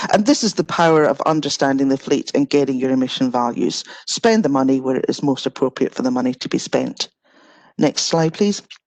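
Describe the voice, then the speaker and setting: A woman talks fairly quickly with lively intonation and a very deep, low pitch. The sound is dry and close, with no echo. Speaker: energy and emissions analyst. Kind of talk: technical presentation. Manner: fast.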